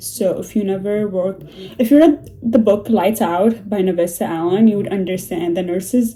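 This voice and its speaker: A woman's medium-pitched voice with a non-native accent, ordinary pitch variation and a moderate pace, over noticeable background noise. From Middle East. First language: not English (Middle Eastern language). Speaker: book vlogger, nursing assistant. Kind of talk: casual vlog monologue. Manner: chatty, with fillers and hesitations.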